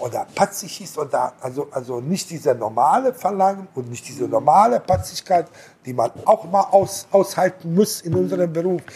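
Over noticeable background noise, a man talks at a moderate pace in a high pitch. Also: big swings in loudness. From abroad, came to Germany at 18. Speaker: restaurant and hotel owner. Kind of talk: casual interview. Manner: halting, many repetitions and fillers.

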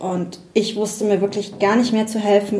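There is audible room echo as a woman with a dark, mellow, somewhat breathy tone talks at a moderate pace. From Rhineland-Palatinate, near Bad Kreuznach. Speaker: psychologist and coach. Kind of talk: interview. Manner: hesitant, many fillers.

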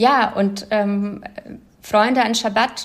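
Her voice is a woman's, pitched at a medium level. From former Soviet Union, moved to Germany at twelve. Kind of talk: interview. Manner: hesitant with fillers.

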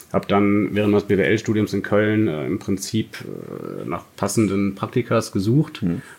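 A man's fairly low voice with ordinary pitch variation and hardly any pauses. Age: 30s. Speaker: online marketing entrepreneur. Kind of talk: casual interview. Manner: hesitant, many fillers.

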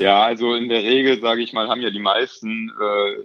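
Fairly quickly and with monotone, flat intonation, a man gets his words out. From Germany, Cologne. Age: 20s. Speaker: trainee in insurance and finance. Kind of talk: interview. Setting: remote call. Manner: hesitant, many filler sounds.

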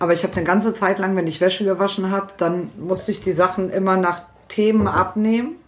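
A woman's intonation stays fairly even as she talks at a very fast pace. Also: medium pitch for a woman. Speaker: podcast co-host. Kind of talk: casual chat.

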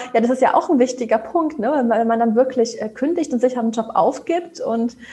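With lively intonation and a high pitch, a woman talks at a fairly quick pace. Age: 30s. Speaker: job application coach. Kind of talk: casual chat.

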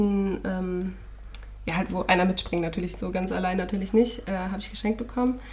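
A woman speaks fairly quickly in a medium pitch with fairly even intonation. It is an unremarkable speaking voice. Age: 20s. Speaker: podcast co-host, student teacher. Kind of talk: casual chat.

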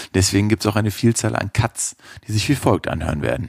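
A man with a fairly low pitch speaks at a moderate pace. Music plays in the background. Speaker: podcast sound technician. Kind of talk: spoken intro announcement.

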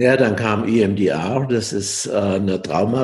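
A somewhat breathy man speaking at a very slow pace. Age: 70s. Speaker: coaching trainer and coach, former psychotherapist. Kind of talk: interview.

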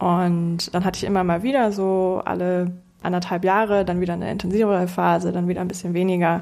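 A woman with a dark, mellow tone and medium pitch talks at a fairly quick pace in a monotone, flat delivery, with audible echo in the room. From Hamburg, northern Germany. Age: 20s. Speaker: product owner at a mobility company, amateur runner. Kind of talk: casual interview.

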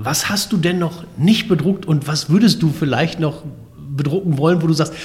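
A man's fairly quick delivery in a normal speaking voice, fairly high in pitch with ordinary pitch variation. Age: 40s. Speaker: podcast host. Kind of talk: interview.

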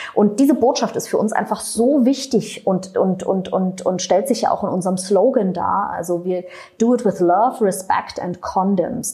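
A woman at a moderate pace with hardly any pauses, over noticeable background noise. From Berlin, Germany. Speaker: non-profit executive. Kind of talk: interview.

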